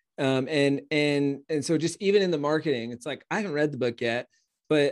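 Against a quiet background, a man talks at a fairly high pitch. It is a plain, everyday voice. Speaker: podcast host. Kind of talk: interview, casual podcast conversation.

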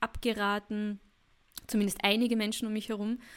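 A woman speaks at a fairly high pitch and a moderate pace. The recording is very clean, with a silent background. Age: 30s. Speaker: podcast host and women's mentor. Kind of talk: personal podcast monologue.

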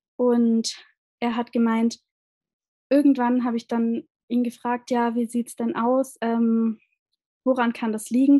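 Speaking very slowly with long, frequent pauses, a woman uses a high pitch, a dark, mellow tone and monotone, flat intonation. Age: 20s. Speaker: social worker and endometriosis patient. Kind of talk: interview about her own illness. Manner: hesitant, many fillers.

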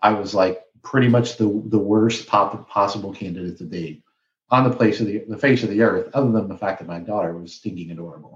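Speaking at a fairly quick pace, a man with a Midwestern American accent uses a fairly low pitch, ordinary pitch variation and big swings in loudness. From Flint, Michigan. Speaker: business owner and podcast host. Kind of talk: interview storytelling.

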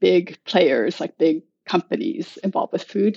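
In an American accent, this is a normal speaking voice with lively intonation. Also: woman. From United States. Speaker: food club organizer and writer. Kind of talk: casual interview.

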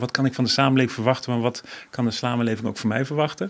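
A man's medium-pitched voice, with ordinary pitch variation, is heard over noticeable background noise. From various developing countries. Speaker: NGO director. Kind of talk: interview.

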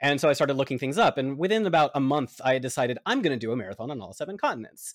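A man's fairly high voice with lively intonation over a quiet background. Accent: American. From Atlanta, Georgia, US South. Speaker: runner and podcaster. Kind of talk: interview.

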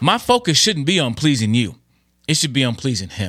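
A man talks, his tone bright and sharp. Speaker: Bible teacher. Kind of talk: devotional teaching video. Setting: online video. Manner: fast talker.

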